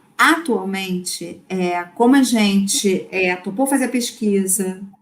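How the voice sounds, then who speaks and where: A woman with a strong Rio de Janeiro accent speaks with fairly even intonation. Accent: strong carioca (Rio de Janeiro). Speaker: lecturer on AI in English teaching. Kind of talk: online lecture Q&A.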